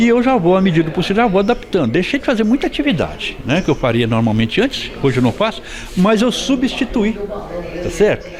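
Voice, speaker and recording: Noticeable background noise surrounds a man speaking at a very fast pace. His high pitch swings very widely while his loudness stays very even. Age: 60s. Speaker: farmer, accident survivor. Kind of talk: news interview.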